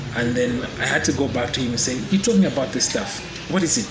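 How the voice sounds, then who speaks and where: A man talking at a fairly quick pace with ordinary pitch variation, amid noticeable background noise and audible room echo. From Zambia, Lusaka. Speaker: forex trader. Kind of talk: interview testimony. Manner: hesitant, many fillers.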